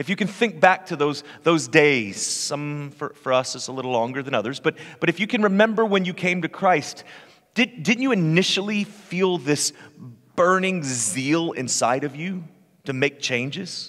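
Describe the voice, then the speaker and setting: With a quiet background, a man talks at a moderate pace. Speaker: lead pastor. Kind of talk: sermon. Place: church. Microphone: headset.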